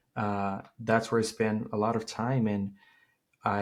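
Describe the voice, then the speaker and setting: This is a man with a Portuguese accent. His pitch sits in the medium range. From Brazil. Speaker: tech startup founder and CEO. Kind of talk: interview.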